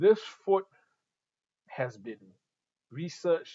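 Over a quiet background, a man talks with a Singaporean accent. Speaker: retail staff presenting audio products; presenter. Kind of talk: live-streamed product tutorial. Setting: showroom studio, live stream.

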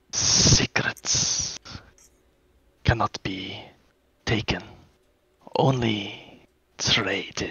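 A man whispers in a put-on character voice at a very slow pace. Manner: mysterious, authoritative.

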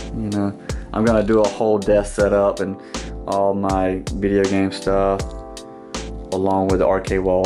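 Moderate pace over clear music in the background. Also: man. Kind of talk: casual vlog tour. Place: home room. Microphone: phone near.

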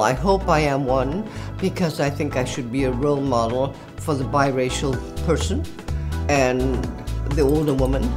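Clear background music under a woman speaking at a moderate pace. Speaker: fashion model. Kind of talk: interview answer. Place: studio.

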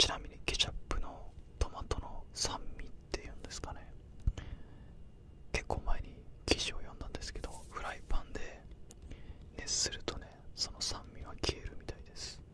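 A soft-spoken man whispers at a moderate pace with long, frequent pauses, over noticeable background noise in a dry space with no echo. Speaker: ASMR-style creator. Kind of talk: soft-spoken casual product chat. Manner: soft close-mic whisper. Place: home room. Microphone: studio mic.

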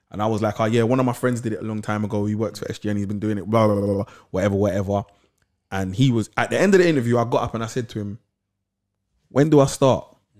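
In a London accent, a man talks at a very fast pace with fairly low pitch, ordinary pitch variation and big swings in loudness. Long, frequent pauses break his speech against a quiet background. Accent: London Multicultural English. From London, Camden/Lewisham. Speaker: podcast co-host. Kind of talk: casual interview chat. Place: studio. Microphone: studio mic.

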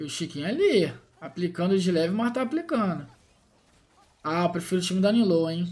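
Animated in tone, a man talks at a fairly quick pace with a high pitch and ordinary pitch variation. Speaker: gaming YouTuber. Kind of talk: gameplay commentary.

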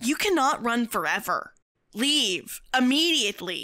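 Using a put-on character voice, a woman speaks high and at a fairly slow pace, her pitch swinging very widely. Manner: cold, commanding.

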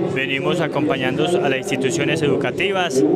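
Fairly quick speech over loud background noise. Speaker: transport company representative. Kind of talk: interview statement. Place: hall. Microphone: handheld.

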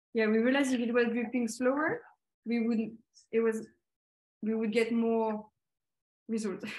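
Her pitch is fairly high, and she speaks with a French accent at a moderate pace. The woman's intonation stays monotone and flat. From Paris area, France; France. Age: 20s. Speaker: designer. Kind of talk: presentation. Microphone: video call.

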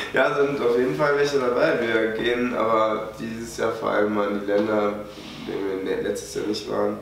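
A man speaks at a fairly slow pace. Light background noise and audible room echo are present. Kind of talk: interview answer. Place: home room.

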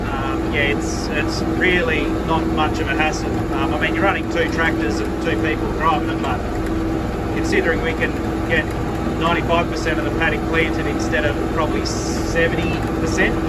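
There is loud background noise. A man speaks over it at a fairly quick pace. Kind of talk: casual vlog chat. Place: farm machine. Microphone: headset.

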